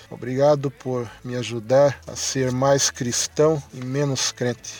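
Noticeable background noise runs under this recording. The man's voice is at a medium pitch. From Santa Catarina, Brazil. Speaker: listener sending a voice message. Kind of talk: recorded testimony.

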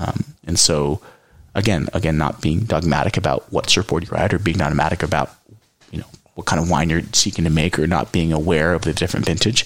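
A man talks with a Californian accent. His pitch is very deep and low, and his pace fairly quick. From California Central Coast. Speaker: winemaker. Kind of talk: casual chat.

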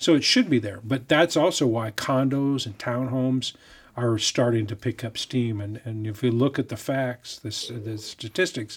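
An ordinary speaking voice from a man, fairly even in intonation and moderate in pace, on a very clean recording with a silent background. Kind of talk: interview. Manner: humorous, chatty.

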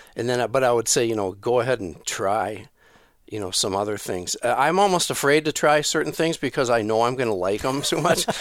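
An unremarkable speaking voice with an American accent, lively intonation and a fairly quick pace, in a very clean recording with a silent background. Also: man, medium pitch for a man. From Minnesota. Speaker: turkey hunting expert. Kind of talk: podcast interview.

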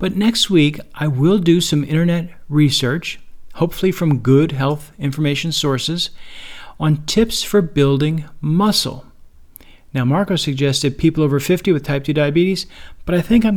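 A man with an ordinary speaking voice, fairly high in pitch, at a moderate pace and with ordinary pitch variation. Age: 60s. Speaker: podcast host living with type 2 diabetes. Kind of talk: solo podcast monologue. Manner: relaxed, conversational.

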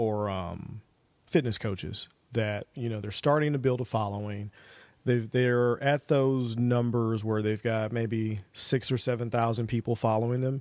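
A man speaks slowly in a plain, everyday voice at medium pitch, in a very clean recording with a silent background. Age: 40s. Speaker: podcast host. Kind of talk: interview; podcast outro.

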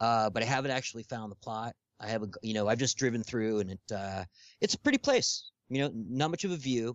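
This man speaks at a fairly quick pace. His pitch is medium, with ordinary variation. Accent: Californian. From Los Angeles. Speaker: podcast guest, social media personality. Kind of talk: casual chat. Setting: Skype call.

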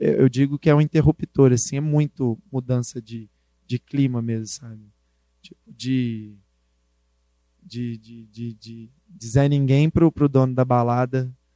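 Dark and mellow in tone, a man speaks at a very slow pace with long, frequent pauses. His intonation is fairly even, though his loudness swings widely. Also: dry, close sound with no echo. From Brazil, Belo Horizonte (Minas Gerais). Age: 20s. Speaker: rapper and community project founder. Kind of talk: talk to university class.

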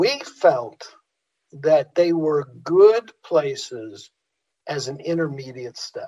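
A man talks at a slow pace. His tone is dark and mellow. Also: fairly high pitch for a man, ordinary pitch variation.

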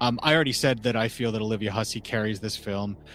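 A man is speaking. Music plays in the background. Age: 40s. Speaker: horror film podcaster. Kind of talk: casual chat.

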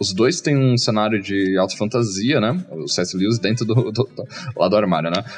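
A man with a fairly low pitch and lively intonation, talking at a moderate pace with hardly any pauses over music in the background. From Brazil, small interior town. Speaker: game designer. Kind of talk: casual interview chat. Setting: live video stream.

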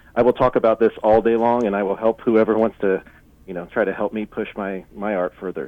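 A man with an unremarkable speaking voice talks at a fairly quick pace in a fairly low pitch, with ordinary pitch variation and big swings in loudness. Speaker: laser artist. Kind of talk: casual interview. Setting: phone call.

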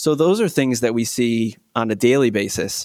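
In a Michigan accent, a man speaks at medium pitch, with a dry, close sound with no echo on a very clean recording with a silent background. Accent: US Midwest (Michigan). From Michigan, Muskegon. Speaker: optometrist. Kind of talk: interview.

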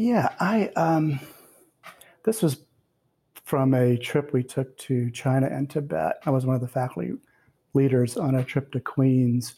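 A man with an American accent speaks at medium pitch in a dark, mellow, somewhat breathy tone with lively intonation. He goes at a fairly slow pace with long, frequent pauses. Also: very even loudness. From US South. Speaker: poet and professor. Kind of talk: interview with readings.

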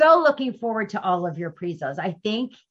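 Somewhat breathy, a woman moves at a moderate pace while her pitch makes very wide swings. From US Midwest (St. Louis, Missouri). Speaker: co-host and speaking mentor. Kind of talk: casual chat.

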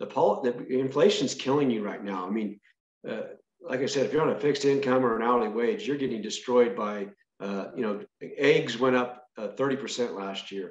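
With an American accent, a man in an ordinary speaking voice talks at a fairly quick pace, with medium pitch and ordinary pitch variation. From Northern California. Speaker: state senator and farmer. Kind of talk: interview.

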